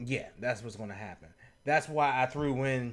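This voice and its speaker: On a very clean recording with a silent background, a man speaks at medium pitch in a plain, everyday voice with ordinary pitch variation. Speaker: wrestling podcast co-host. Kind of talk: casual chat.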